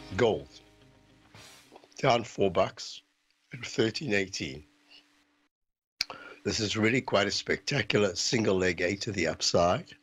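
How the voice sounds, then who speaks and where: A man does a raspy put-on character voice at a fairly low pitch. He goes at a fairly slow pace, with long, frequent pauses. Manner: very slow, deliberate.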